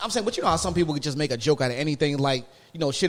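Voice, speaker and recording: Fairly high-pitched and animated, a man rattles along at a very fast pace. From Philadelphia, US. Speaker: podcast co-host. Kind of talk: casual chat.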